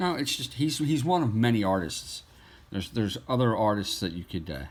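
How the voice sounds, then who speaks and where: A man speaks at a medium pitch and a fairly quick pace. His pitch swings very widely. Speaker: artist. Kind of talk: tutorial. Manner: halting.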